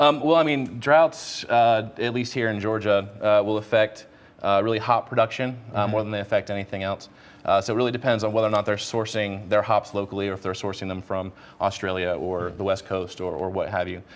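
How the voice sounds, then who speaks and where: Talking at a fairly quick pace, a man has an ordinary speaking voice, fairly low in pitch, with ordinary pitch variation. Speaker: guest. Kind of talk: interview answer. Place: studio. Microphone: lapel.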